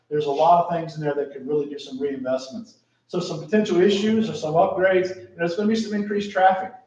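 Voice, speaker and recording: A man with an American accent talks at a very fast pace with ordinary pitch variation, and audible room echo surrounds him. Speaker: town staff presenting a plan. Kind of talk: council meeting presentation.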